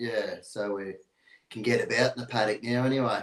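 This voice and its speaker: Speaking in an Australian accent, a man holds a medium pitch. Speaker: dog breeder and livestock contractor. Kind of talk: casual interview.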